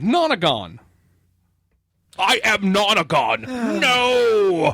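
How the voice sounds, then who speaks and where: A man puts on a character voice. It is high-pitched and very slow. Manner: deadpan, blunt.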